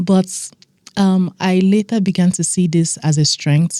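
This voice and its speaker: A soft-spoken woman at medium pitch, dark and mellow in tone, with fairly even intonation. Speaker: business consultant and community founder. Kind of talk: interview conversation.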